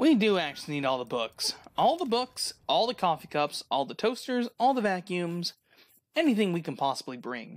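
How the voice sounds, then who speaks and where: At a moderate pace, a woman of medium pitch swings her pitch very widely, recorded very cleanly against a silent background. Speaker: gaming streamer. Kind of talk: casual let's play commentary.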